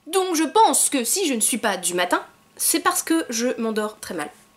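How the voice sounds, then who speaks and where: Against noticeable background noise, a woman speaks with very wide pitch swings. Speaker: YouTuber. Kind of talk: casual vlog monologue.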